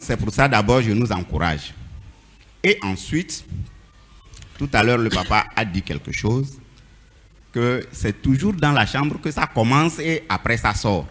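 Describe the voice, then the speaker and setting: A man's medium-pitched voice with very wide pitch swings, vocal fry, and a very slow pace. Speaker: church member speaking in a debate. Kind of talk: church panel debate. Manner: animated.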